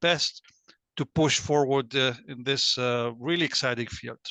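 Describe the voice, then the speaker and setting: A bright, sharp tone comes through dry, close sound with no echo against a quiet background. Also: man. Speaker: parliamentary researcher. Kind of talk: panel introduction.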